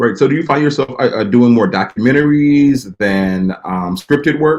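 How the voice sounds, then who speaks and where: With an American accent, a man uses a normal speaking voice at medium pitch, with lively intonation and a moderate pace. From Texas, Dallas. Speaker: magazine show host. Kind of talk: interview.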